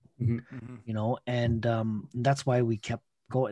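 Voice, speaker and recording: In a Toronto accent, a man speaks at a medium pitch. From Scarborough, Toronto, Canada. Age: 30s. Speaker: breakdance event organizer. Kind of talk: casual interview.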